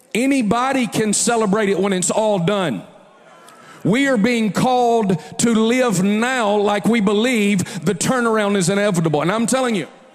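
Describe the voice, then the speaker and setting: A man's high-pitched voice with an animated tone, ordinary pitch variation, very even loudness and a moderate pace, over noticeable background noise. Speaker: preacher. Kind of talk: sermon.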